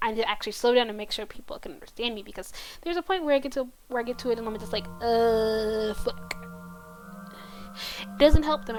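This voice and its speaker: A woman with a high voice talks at a very fast pace over music in the background. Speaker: streamer. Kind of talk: casual chat.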